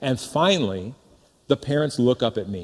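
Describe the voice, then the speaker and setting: Lively intonation and an animated tone mark this voice with an American accent. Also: man. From US Midwest. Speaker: pastor. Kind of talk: sermon.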